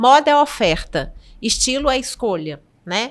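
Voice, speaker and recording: A woman with a Minas Gerais accent on a very clean recording with a silent background. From Minas Gerais, Brazil. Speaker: podcast guest. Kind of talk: casual chat.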